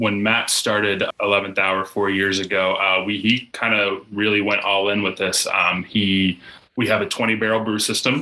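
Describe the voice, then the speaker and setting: Keeping very even loudness, a man talks at a moderate pace in a fairly low pitch, his bright, sharp tone delivered in a monotone, flat intonation. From Pittsburgh, Pennsylvania. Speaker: brewery sales and events coordinator. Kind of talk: casual chat.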